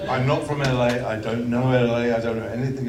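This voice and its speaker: A man with a British accent talks at a very fast pace in a medium pitch. The recording has audible room echo and noticeable background noise. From England. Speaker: film director. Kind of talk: Q&A interview. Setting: stage with audience. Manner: halting.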